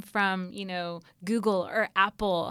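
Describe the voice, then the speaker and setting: In a very clean recording with a silent background, a woman with an American accent speaks at a medium pitch with ordinary pitch variation in a plain, everyday voice. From US South, Atlanta. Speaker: university sustainability administrator. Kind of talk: interview. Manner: frequent filler words, um.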